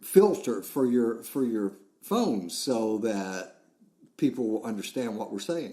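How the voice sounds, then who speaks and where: Very slowly, a man with a Southern US accent speaks at a medium pitch in a dark, mellow tone. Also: lively intonation. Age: 60s. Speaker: podcast host. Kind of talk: casual chat.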